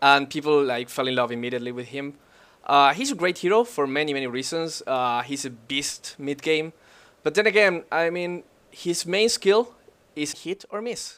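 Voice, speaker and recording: A man with a non-native accent, lively intonation and a moderate pace, on a very clean recording with a silent background. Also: fairly high pitch for a man. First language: not English. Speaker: gaming analyst. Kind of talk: casual chat.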